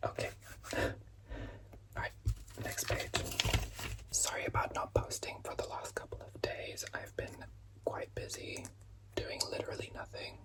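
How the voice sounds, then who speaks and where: Whispering over noticeable background noise, a man leaves long, frequent pauses. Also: moderate pace. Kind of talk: ASMR lego building and rambling. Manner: whispered, soft-spoken.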